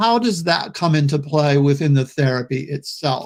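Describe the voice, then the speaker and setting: A plain, everyday voice speaks at a fairly slow pace with ordinary pitch variation. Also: man. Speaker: psychotherapist and trainer. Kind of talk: lecture. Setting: webinar.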